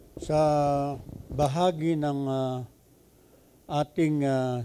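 Very slow and fairly even in intonation, a man talks at a fairly high pitch with a dark, mellow tone. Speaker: preacher. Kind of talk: sermon. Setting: church. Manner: code-switching Tagalog and English; halting, filler-heavy. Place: hall. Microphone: handheld.

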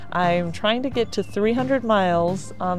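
Dry sound with no echo and clear music in the background. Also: woman. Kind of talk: casual vlog chat. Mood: cheerful, laughing often. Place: street. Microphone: phone near.

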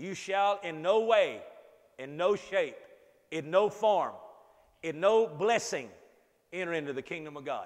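Long, frequent pauses break up a man's high-pitched, fairly slow speech, which has big swings in loudness over a quiet background. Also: ordinary pitch variation. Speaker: preacher. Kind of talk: sermon. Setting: church. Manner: animated call-and-response preaching, urging the congregation to say amen; repetitive, emphatic, building through repeated phrases. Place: meeting room. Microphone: lapel.

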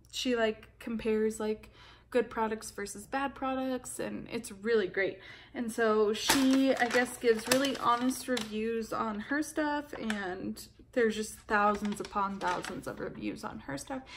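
A woman talks at a fairly slow pace with ordinary pitch variation. Noticeable background noise sits behind her. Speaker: beauty vlogger. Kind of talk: casual vlog chat. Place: home room. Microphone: phone near.

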